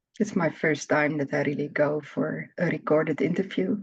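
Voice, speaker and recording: With a Dutch accent, a woman speaks at a moderate pace in a very deep, low voice. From Netherlands. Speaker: therapy practitioner. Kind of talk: interview. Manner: halting.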